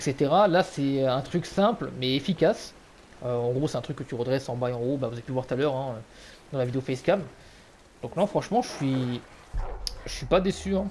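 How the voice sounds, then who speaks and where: The man's pace is fairly quick, yet broken by long, frequent pauses. His medium pitch carries lively intonation. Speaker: gaming YouTuber. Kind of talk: product review. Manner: loud; hesitant, many fillers. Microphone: cheap gaming headset mic.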